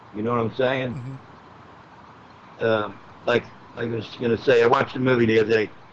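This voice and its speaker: Through noticeable background noise, a man speaks at a moderate pace and medium pitch in monotone, flat intonation. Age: 60s. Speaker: military veteran. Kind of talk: casual interview.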